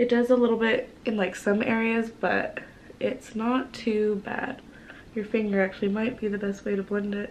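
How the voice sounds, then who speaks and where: Against noticeable background noise, a woman speaks at a moderate pace in a fairly high pitch with monotone, flat intonation. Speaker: beauty vlogger. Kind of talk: makeup tutorial. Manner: casual.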